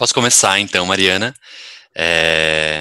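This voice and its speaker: Recorded dry and close with no echo, a man speaks in a bright, sharp tone. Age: 30s. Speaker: podcast guest. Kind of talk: casual chat.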